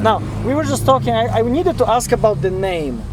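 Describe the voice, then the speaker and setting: A man speaks at a high pitch with a non-native accent. The recording has audible room echo and noticeable background noise. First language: not English. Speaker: music video channel host. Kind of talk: casual interview. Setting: inside a parked touring van.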